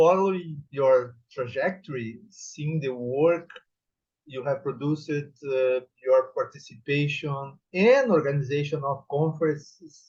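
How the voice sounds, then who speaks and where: A man with a Portuguese accent, fairly high-pitched and somewhat breathy, at a fairly slow pace with fairly even intonation. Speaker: professor on thesis examining board. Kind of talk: formal evaluation speech at thesis defense. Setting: academic defense session. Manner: formal.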